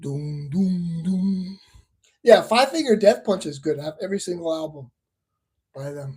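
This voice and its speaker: Animated and lively in intonation, a man talks at a moderate pace with high pitch. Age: 60s. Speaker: livestreamer reading chat comments. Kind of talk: casual chat. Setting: livestream.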